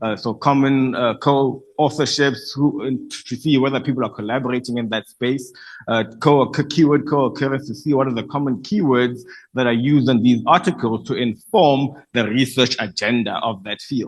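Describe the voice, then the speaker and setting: Here a man talks in a medium pitch. His pitch varies in an ordinary way. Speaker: conference speaker presenting research. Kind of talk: conference presentation. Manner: fast.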